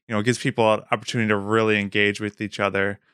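Recorded very cleanly against a silent background, with a dry, close sound and no echo, a man with an American accent speaks at a medium pitch in a bright, sharp tone. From Wisconsin. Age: 30s. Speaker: podcast producer. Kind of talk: casual chat.

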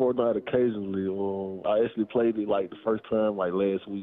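In an ordinary speaking voice, a man talks at a fairly quick pace with hardly any pauses, his fairly low pitch and intonation fairly even. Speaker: pro football player. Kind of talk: casual interview. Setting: live event with audience.

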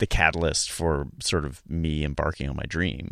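A man's very deep, low voice with vocal fry, with an American accent, ordinary pitch variation, and a very clean recording with a silent background. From US South, Charlotte, North Carolina. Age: 40s. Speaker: comedic actor. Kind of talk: casual interview. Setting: studio. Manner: halting, many restarts.

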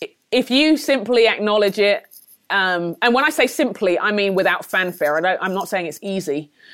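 A woman speaks with a London accent at a medium pitch. Her intonation is lively and her pace moderate. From England, London. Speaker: leadership trainer and author. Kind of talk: podcast interview.

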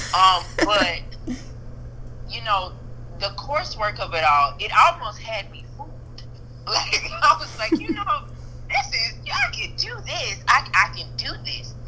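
Talking at a fairly slow pace, a woman leaves long, frequent pauses. Her loudness swings widely amid noticeable background noise. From Louisiana (Zachary, Baton Rouge). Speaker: school counselor. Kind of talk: casual chat.

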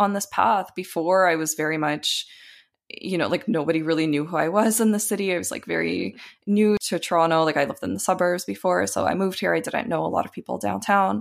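A woman's fairly low voice in a Canadian accent, at a fairly quick pace with very wide pitch swings. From Ukraine, then Canada from age eight. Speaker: community organizer and businesswoman. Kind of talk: interview.

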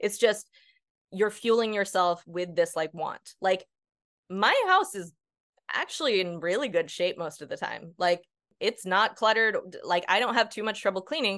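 With a plain, everyday voice, a woman speaks at a moderate pace in a medium pitch with ordinary pitch variation. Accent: American. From US Northeast. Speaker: ADHD coach. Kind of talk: casual interview.

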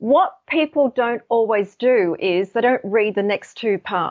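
Speaking at a fairly slow pace with an Australian accent, a woman uses a fairly high pitch and ordinary pitch variation. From Australia, Sydney. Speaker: colour psychology expert and author. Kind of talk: interview.

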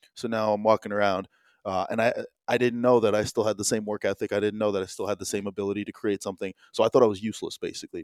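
On a very clean recording with a silent background, a man with an American accent talks at a very fast pace, a fairly low pitch and monotone, flat intonation. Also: dry, close sound with no echo. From New Jersey, US. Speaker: entrepreneur. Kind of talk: casual chat.

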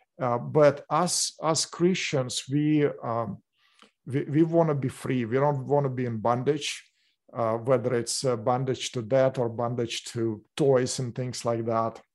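A man's normal speaking voice at a medium pitch, with fairly even intonation and a fairly slow pace

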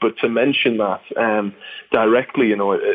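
Medium-pitched male speech with fairly even intonation, set against noticeable background noise. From northeast England. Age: 20s. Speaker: drummer and drumstick company founder. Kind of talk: casual interview.

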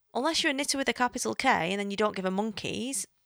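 The speaker has an English accent. The recording is very clean with a silent background and a dry, close sound with no echo. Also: woman. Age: 30s. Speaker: podcast host. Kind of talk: casual monologue. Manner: chatty, hesitant with fillers.

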